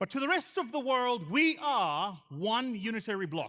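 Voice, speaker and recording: A man speaks at a fairly slow pace in a raised, projected voice. His delivery is animated and bright, sharp in tone, with very wide pitch swings. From South Africa. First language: isiZulu. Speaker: venture capital investor, conference speaker. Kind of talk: conference keynote speech.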